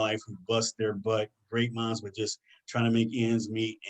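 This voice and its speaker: In an excited tone, a man speaks at a medium pitch against a quiet background. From US Midwest, Detroit, Michigan; Michigan. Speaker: career guest speaker; speaker. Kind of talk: presentation to students. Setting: online video session. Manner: fast, excited delivery. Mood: earnest, encouraging. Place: home room. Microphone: webcam.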